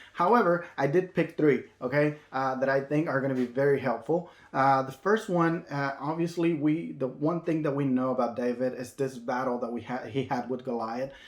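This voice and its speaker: A man with a Spanish accent and a fairly high pitch, at a moderate pace with hardly any pauses, in audible room echo. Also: ordinary pitch variation. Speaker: minister. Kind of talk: sermon. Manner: halting, many fillers and restarts.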